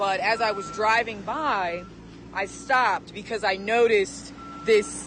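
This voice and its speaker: With an American accent, a woman speaks in an unremarkable speaking voice at a medium pitch, her intonation lively. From California. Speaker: TV news anchor and reporter. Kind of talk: news anchor script read.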